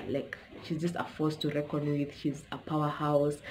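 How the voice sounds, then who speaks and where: A woman with a very deep, low voice talks amid audible room echo. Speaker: YouTuber. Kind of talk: casual vlog talk to camera. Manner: fast.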